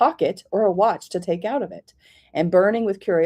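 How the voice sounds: Heard here is a natural reading voice whose pitch varies in an ordinary way.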